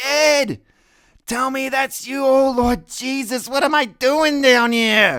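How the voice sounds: A high voice at a very slow pace, with fairly even intonation.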